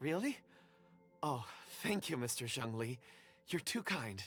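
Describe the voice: A man puts on a character voice with big pitch swings, a fairly bright tone, and a slightly husky edge at medium pitch. Faint music plays in the background. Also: fairly slow pace.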